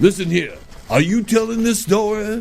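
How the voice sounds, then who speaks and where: A man's gruff, put-on character voice, high-pitched, with fairly even intonation and a moderate pace, over clear background noise. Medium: comedy sketch. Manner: gruff, impatient.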